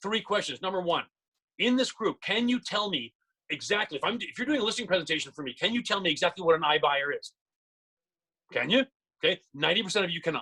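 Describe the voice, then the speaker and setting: A man with a bright, sharp, high voice projects loudly with lively intonation. He talks very fast yet leaves long, frequent pauses. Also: dry, close sound with no echo. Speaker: real estate trainer. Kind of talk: live seminar. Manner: animated.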